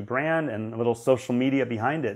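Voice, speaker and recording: A man speaks at a moderate pace in a medium pitch, his tone enthusiastic and his pitch variation ordinary. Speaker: charity auction founder, online auctioneer. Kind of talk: interview answer. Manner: conversational, fluent, enthusiastic.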